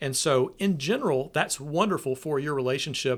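Recorded very cleanly against a silent background, a man with a Southern US accent speaks at a moderate pace and medium pitch, his pitch swinging very widely. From US South, Nashville, Tennessee. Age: 40s. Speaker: preaching minister. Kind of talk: casual chat.

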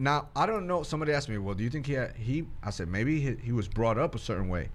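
Very wide pitch swings from a man at medium pitch and a fairly quick pace, with audible room echo. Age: 40s. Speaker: podcast host. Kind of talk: casual faith discussion.

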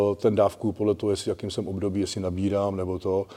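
A man is speaking. His tone is dark and mellow. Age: 40s. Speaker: personal trainer. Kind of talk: casual chat.

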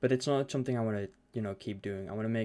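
Speaking very fast in a Dutch accent, a man uses a dark, mellow tone and fairly low pitch with fairly even intonation on a very clean recording with a silent background. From Netherlands. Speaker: podcast host and streamer. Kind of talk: casual chat. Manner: hesitant, filler-heavy.

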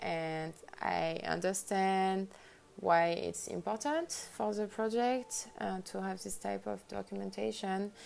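The recording is very clean, and the background is silent. A woman speaks very slowly. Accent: French. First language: French. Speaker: lighting designer. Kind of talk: interview. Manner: halting.

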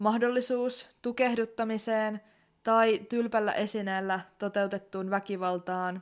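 Speaking very slowly, a woman's fairly high voice holds a fairly even intonation. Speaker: podcast host. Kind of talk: true-crime narration, scripted-sounding. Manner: serious, measured; somber, grave tone, deliberate pace.

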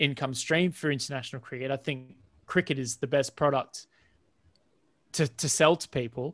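A man with an Australian accent, fairly high pitch and a moderate pace, in a dry, close sound with no echo. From Australia, Central Coast of New South Wales. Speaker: cricket content creator. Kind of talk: podcast interview. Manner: animated.

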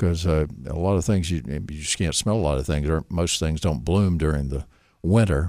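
Here a man with a Southern US accent talks at a moderate pace in a very deep, low pitch with ordinary pitch variation. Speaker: radio host. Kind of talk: radio call-in show. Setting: studio. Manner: joking.

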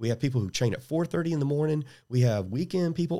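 In a very clean recording with a silent background, a man speaks in a somewhat breathy voice. His pitch varies in an ordinary way. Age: 50s. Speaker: jiu-jitsu gym owner and instructor. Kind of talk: casual interview.

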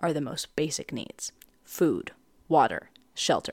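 A woman speaks at a fairly slow pace with an animated tone. The recording is very clean, with a silent background and a dry, close sound free of echo. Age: 20s. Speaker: podcast host. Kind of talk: casual solo monologue. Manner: animated, frequent laughter.

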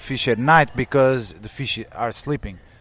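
A man speaks with a Portuguese accent. His pace is moderate. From Portugal. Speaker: climate scientist. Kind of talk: interview. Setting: conference.

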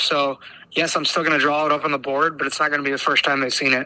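A man with a Midwestern US accent and a fairly high pitch. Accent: US Midwest. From Iowa. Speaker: high school basketball coach. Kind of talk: casual interview.

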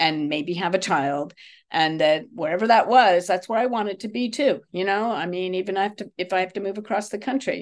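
With a plain, everyday voice, a woman speaks at medium pitch and a fairly quick pace with ordinary pitch variation. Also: quiet background. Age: 60s. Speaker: English teacher. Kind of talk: casual chat.

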